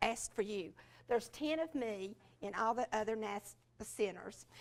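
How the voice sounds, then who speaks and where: Speaking at a moderate pace, a woman with a Southern US accent has a fairly high pitch. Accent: Southern US (Georgia). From US South, rural Georgia. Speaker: education specialist, former teacher. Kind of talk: conference talk. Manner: halting, many fillers.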